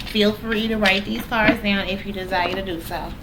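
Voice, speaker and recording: A woman at a medium pitch and a fairly slow pace, with fairly even intonation, audible room echo and noticeable background noise. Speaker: tarot reader. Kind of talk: tarot reading. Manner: casual.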